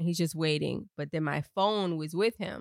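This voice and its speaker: Animated in tone, a woman with a fairly low pitch speaks at a moderate pace in a very clean recording with a silent background and a dry, close sound with no echo. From Miami, Florida (Haitian family). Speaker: podcast co-host. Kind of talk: casual chat.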